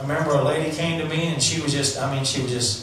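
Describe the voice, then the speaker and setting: A man speaks at a moderate pace with ordinary pitch variation. Strong room echo and light background noise surround him. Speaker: preacher. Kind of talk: sermon to a live congregation. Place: church.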